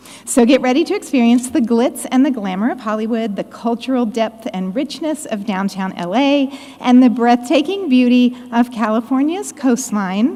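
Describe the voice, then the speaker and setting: Over noticeable background noise, a woman talks loudly at a moderate pace in a high voice with ordinary pitch variation. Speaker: conference committee member. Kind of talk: conference announcement. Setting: conference stage with audience.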